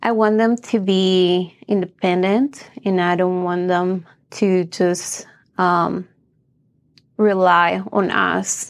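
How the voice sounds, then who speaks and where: A woman with a Spanish accent speaks at a very slow pace and a medium pitch, with very even loudness and fairly even intonation. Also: very clean recording, silent background. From Bolivia. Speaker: real estate agent. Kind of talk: interview.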